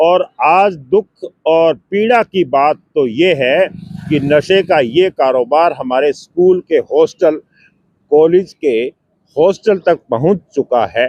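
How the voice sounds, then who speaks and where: A man's high voice for a man comes through dry and close, with no echo. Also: ordinary pitch variation, very even loudness. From Haryana, Hisar district. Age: 60s. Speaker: retired official and cycling campaigner. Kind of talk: interview.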